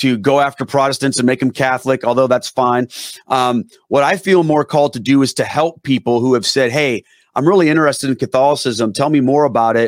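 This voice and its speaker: A man at medium pitch with fairly even intonation and very even loudness, in a dry, close, echo-free, very clean recording with a silent background. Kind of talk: interview. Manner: down-to-earth conversational.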